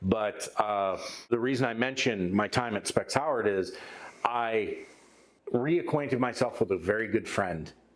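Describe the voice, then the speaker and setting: A man with a Midwestern accent at a medium pitch, moderate pace and ordinary pitch variation. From Michigan, US Midwest. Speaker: metal band musician and podcast co-host. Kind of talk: casual chat.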